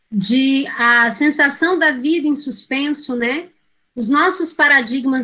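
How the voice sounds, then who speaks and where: Her voice raised and projected, a woman speaks very slowly at a high pitch with a bright, sharp tone. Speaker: teacher educator. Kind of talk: lecture.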